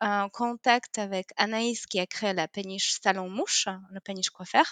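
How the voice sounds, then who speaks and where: In a Polish accent, a woman is heard against a quiet background in a dry, close sound with no echo. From Poland. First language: Polish (speaking French). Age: 30s. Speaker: yoga teacher. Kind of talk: interview. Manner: hesitant, many fillers.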